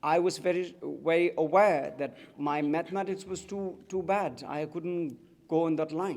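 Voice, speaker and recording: With a Tibetan accent, a man speaks at a moderate pace and a high pitch with fairly even intonation. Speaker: writer and activist. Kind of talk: public speech.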